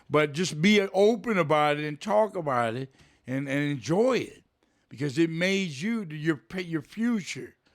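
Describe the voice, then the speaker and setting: This very clean recording with a silent background features a man in a normal speaking voice. He speaks at a fairly slow pace with a fairly high pitch and lively intonation. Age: 60s. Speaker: interviewee, host's uncle. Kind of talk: casual chat. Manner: loud.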